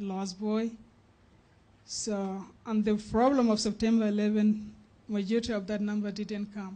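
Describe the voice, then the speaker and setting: A man speaks at a moderate pace in a high pitch with monotone, flat intonation. His tone is dark and mellow. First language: not English. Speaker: refugee speaker. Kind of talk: testimony. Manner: halting.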